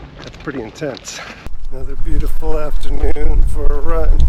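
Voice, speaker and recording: With music in the background, a man speaks at a fairly high pitch. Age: 50s. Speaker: runner and fitness vlogger. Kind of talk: casual vlog narration.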